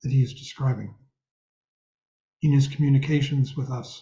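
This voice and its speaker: A man's fairly high voice, somewhat breathy, moves at a moderate pace and keeps a fairly even intonation. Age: 70s. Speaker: meditation teacher. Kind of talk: dharma talk. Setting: video call.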